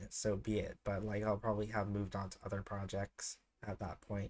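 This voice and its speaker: A man's voice at a moderate pace with fairly even intonation, on a very clean recording with a silent background. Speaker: scanlation group founder and translator. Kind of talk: casual chat. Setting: live stream. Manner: halting, many filler sounds.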